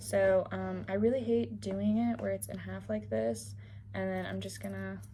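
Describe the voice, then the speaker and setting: Monotone, flat intonation at a fairly slow pace, with noticeable background noise and audible room echo. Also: woman. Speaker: sewing youtuber and youth teacher. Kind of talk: sewing tutorial. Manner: casual, filler-heavy.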